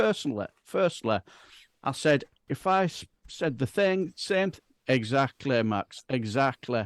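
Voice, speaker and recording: With a West Yorkshire accent, a man speaks fairly slowly at a fairly high pitch with lively intonation, the sound dry and close with no echo against a quiet background. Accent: broad Bradford. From northern England, Bradford. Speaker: political chat show co-host. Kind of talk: casual political chat.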